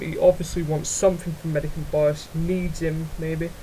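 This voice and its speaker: A man talks in a high-pitched voice over noticeable background noise. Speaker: gaming YouTuber. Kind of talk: unscripted gaming commentary. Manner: halting, stuttering.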